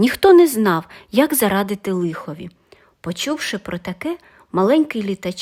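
A passage read aloud in a natural voice.

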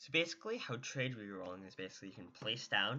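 A man mumbles quietly at a moderate pace in a fairly low pitch. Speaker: Minecraft tutorial YouTuber. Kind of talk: casual gaming tutorial narration. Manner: quiet, somewhat mumbling.

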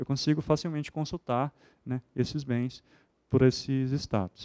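Against a quiet background, a man with a dark, mellow tone and fairly high pitch speaks at a fairly quick pace with fairly even intonation. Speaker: university property management staff; presenter, system trainer. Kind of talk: software demonstration presentation. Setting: auditorium with audience. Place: hall. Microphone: handheld.

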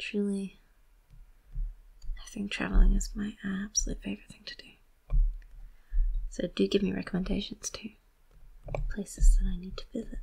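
Soft-spoken and at a moderate pace, a woman talks with long, frequent pauses and big swings in loudness while music plays in the background. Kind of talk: soft-spoken ASMR chat. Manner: soft-spoken, rambling.

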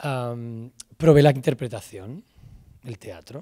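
A man with a Castilian accent speaks at a very slow pace, his pitch medium. His tone is dark and mellow, somewhat breathy, over a quiet background. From Spain, Salamanca; Spain. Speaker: film director and screenwriter. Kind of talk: talk to students. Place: stage. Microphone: handheld.

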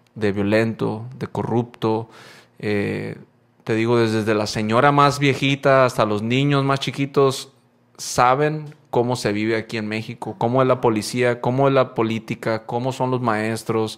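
Very clean with a silent background, the recording carries fairly slow speech with fairly even intonation. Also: man, medium pitch for a man. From Guaymas, Sonora, Mexico (childhood years in Las Vegas). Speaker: popping dancer and podcast host. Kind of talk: casual chat. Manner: halting, many fillers.

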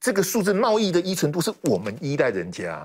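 A man races through his words very fast, with a quiet background behind him. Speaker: political commentator. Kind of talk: heated debate. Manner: animated. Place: studio. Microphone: lapel.

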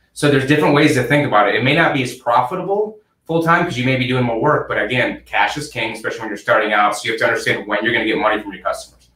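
A man with an American accent and fairly high pitch talks at a very fast pace with lively intonation and hardly any pauses. There is audible room echo, though the background is quiet. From Michigan, US. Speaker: accounting firm founder; guest. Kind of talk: interview. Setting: video call. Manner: hesitant with many fillers. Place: office.

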